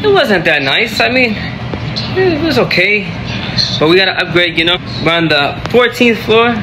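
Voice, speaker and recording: Over noticeable background noise, a man speaks at a moderate pace in a raised, projected voice. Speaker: vlogger. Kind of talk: casual vlog chat. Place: home room. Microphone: phone near.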